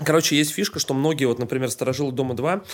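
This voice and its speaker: The man speaks very fast, his medium pitch showing ordinary variation. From Saint Petersburg, Russia. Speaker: podcast host. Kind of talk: casual chat.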